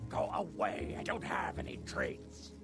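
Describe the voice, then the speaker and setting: A man speaks at a moderate pace in a put-on character voice. Clear music plays in the background. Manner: scared.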